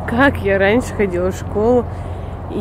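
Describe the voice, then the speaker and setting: A woman speaks in a dry setting with no echo. Light background noise can be heard. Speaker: family vlogger. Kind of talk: casual vlog chat. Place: street. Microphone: phone near.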